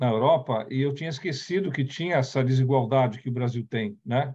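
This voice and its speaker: The man's pitch is fairly high, with ordinary variation. He speaks at a moderate pace against a quiet background. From Brazil, raised partly in the Netherlands. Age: 60s. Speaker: company CEO, speaker on diversity. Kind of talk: talk / presentation with slides. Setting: online event. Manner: halting, with self-corrections.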